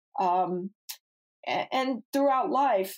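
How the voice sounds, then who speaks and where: In a normal speaking voice, a woman with an American accent talks at a fairly slow pace with lively intonation. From Ohio. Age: 50s. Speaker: former business executive. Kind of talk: interview. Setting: remote call.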